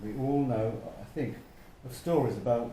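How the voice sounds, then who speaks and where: The voice has a dark, mellow tone, somewhat breathy, moving at a fairly slow pace with ordinary pitch variation and audible room echo. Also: man. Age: 70s. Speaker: retired local resident. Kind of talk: casual interview.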